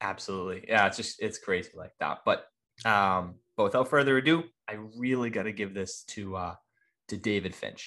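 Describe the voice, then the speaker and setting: Speaking at a moderate pace, a man has a fairly low voice with a bright, sharp tone. His pitch varies in an ordinary way, over a quiet background. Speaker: comic book podcast host. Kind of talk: casual chat. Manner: halting, many repeated words.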